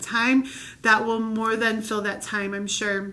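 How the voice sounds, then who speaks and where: A woman speaks in a fairly high pitch with a bright, sharp tone and monotone, flat intonation. Audible room echo surrounds her voice. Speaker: children's ministry leader. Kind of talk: training video. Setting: recorded video. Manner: fast.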